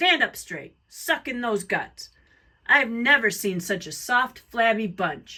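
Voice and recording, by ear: Using a put-on character voice, a woman speaks slowly with a bright, sharp tone, a fairly high pitch and big pitch swings.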